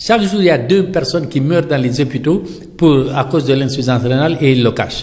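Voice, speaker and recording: Noticeable background noise sits behind a man speaking at a fairly high pitch with ordinary pitch variation. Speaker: dialysis patient and activist. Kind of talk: interview. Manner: animated.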